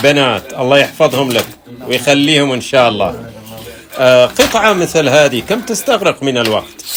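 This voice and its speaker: A man talks at a moderate pace with a fairly high pitch. His intonation is lively, and background noise is noticeable. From Saudi Arabia. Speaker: artist. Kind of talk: casual interview.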